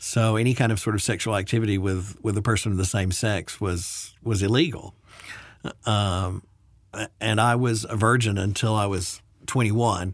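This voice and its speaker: Over a quiet background, a man with an American accent and an ordinary speaking voice talks at a moderate pace, with a fairly low pitch, fairly even intonation and very even loudness. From US South, Birmingham, Alabama. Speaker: military veteran. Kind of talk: interview.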